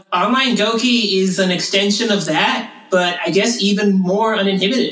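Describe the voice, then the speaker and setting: A man uses a raised, projected voice with fairly even intonation, amid noticeable background noise and audible room echo. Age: 30s. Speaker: former school worker and online community moderator. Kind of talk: casual chat.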